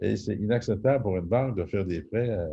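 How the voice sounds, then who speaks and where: A man speaks at a fairly quick pace in a fairly low, somewhat breathy voice. He has a Quebec accent. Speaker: real estate investor and private lender. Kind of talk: webinar presentation. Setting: video call. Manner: hesitant, many fillers.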